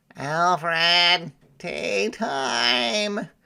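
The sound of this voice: A put-on character voice moves at a very slow pace with lively intonation, its bright, sharp tone also clear and smooth, touched with vocal fry. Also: man, high pitch for a man, very clean recording, silent background.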